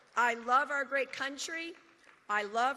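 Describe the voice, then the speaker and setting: A woman projects her raised voice at a high pitch. Crowd noise carries in the background. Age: 60s. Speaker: political event speaker. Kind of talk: prepared speech.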